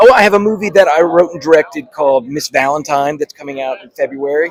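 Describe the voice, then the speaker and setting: Over noticeable background noise, a man talks very fast in a fairly high pitch with ordinary pitch variation. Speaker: voice actor and filmmaker. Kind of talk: interview answer. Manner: casual, upbeat.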